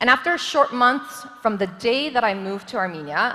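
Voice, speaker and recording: A woman's animated, fairly quick speech comes through noticeable background noise. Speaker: government official, forum speaker. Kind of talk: conference talk. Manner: loud.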